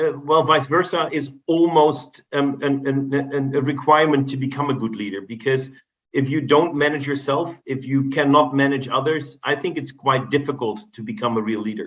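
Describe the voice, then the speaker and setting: A man with a Dutch accent talks in a fairly high voice with ordinary pitch variation. He speaks with hardly any pauses. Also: moderate pace. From Netherlands. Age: 50s. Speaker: business executive and board member. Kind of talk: podcast interview. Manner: halting, many repetitions.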